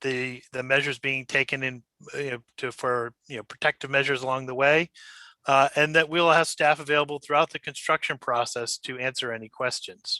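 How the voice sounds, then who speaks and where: With a bright, sharp tone and fairly high pitch, a man talks at a fairly quick pace in monotone, flat intonation. The sound is dry and close with no echo. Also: quiet background. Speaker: developer representative answering questions. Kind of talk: public meeting presentation. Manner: fast; hesitant with fillers.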